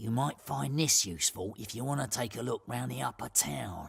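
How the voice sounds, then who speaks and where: Someone uses a put-on character voice at a low pitch, speaking at a moderate pace. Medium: video game.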